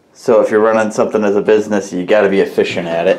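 Against light background noise, a man speaks at a fairly quick pace. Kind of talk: casual vlog chat. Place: workshop. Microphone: phone near.

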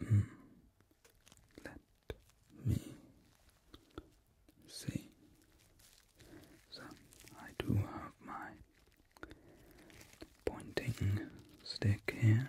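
Whispering and mumbling, a man goes at a very slow pace with long, frequent pauses and big swings in loudness. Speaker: pretend ear cleaner. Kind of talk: ASMR roleplay ear cleaning, mumbling to the listener. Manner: soft-spoken, slow, mumbly. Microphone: studio mic.

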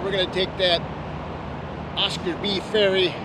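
Loud background noise runs under a man's voice. The sound itself is dry, with no echo. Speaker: motorcycle vlogger. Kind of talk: casual vlog chat. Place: street.

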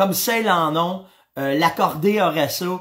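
In a Quebec accent, a man speaks with an animated tone at a high pitch against a quiet background. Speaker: hunting show host. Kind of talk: casual live-stream chat. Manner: animated, hesitant with many fillers. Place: home room. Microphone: webcam.

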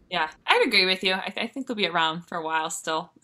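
A woman talks at a fairly quick pace with ordinary pitch variation. Hers is an unremarkable speaking voice, medium in pitch. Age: young. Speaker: jazz/soul singer and livestream host. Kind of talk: casual interview chat. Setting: livestream video call.

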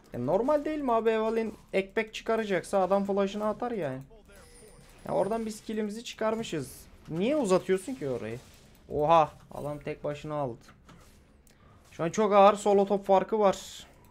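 A man talks at a high pitch. Behind him, music plays. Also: moderate pace. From Izmir, Turkey. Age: 20s. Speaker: gaming video creator. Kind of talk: casual gameplay commentary.

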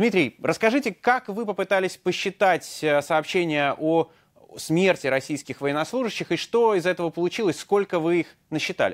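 A man with a high pitch and ordinary pitch variation speaks at a moderate pace over a quiet background. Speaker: news host. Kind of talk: interview. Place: studio. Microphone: lapel.

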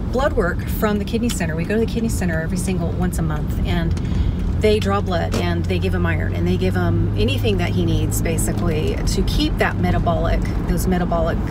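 A woman at a fairly quick pace, with a dry, echo-free sound and music in the background. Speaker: lifestyle vlogger. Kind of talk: casual vlog chat. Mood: serious, emotional personal news. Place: car.

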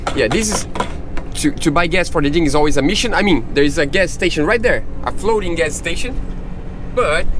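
Over noticeable background noise, a man with a high voice talks at a fairly quick pace in a dry sound with no echo. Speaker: sailing vlogger. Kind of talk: casual vlog chat. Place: boat. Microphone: phone near.

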